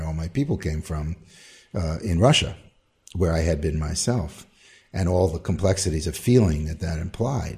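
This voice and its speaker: This man talks at a fairly quick pace, his very deep, low voice dark, mellow and somewhat breathy. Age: 60s. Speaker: composer. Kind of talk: interview.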